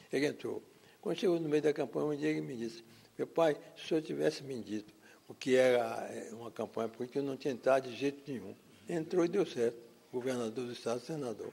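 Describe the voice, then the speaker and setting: Very fast and lively, a man with a dark, mellow tone at a medium pitch speaks with big swings in loudness. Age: 90s. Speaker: former mayor. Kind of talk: testimony.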